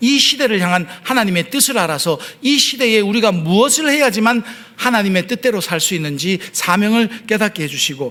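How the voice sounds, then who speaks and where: Speaking with a Gyeongsang accent, a man has a high pitch. His intonation is lively and his pace moderate. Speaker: pastor. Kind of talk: sermon.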